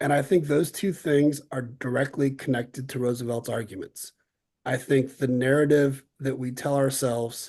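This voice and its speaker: Fairly even intonation in a man's mellow, dark tone. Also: medium pitch for a man. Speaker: civics panelist. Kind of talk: panel discussion. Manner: fast.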